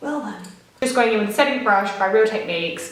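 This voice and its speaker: A woman speaks at a medium pitch amid noticeable background noise and audible room echo. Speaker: beauty vlogger. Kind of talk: tutorial. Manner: chatty.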